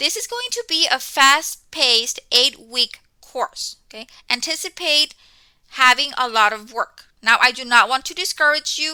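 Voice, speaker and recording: A woman speaks at a fairly slow pace in a raised, projected voice, high-pitched with a bright, sharp tone. The sound is dry and close, with no echo. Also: lively intonation, big swings in loudness. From Mexico. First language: Spanish. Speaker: college instructor. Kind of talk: course welcome talk. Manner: conversational, frequent 'okay' fillers.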